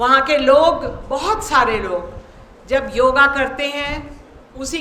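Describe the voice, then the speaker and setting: A raised, projected voice comes through with audible room echo and noticeable background noise. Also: woman. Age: 60s. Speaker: invited speaker at yoga seminar. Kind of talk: formal speech.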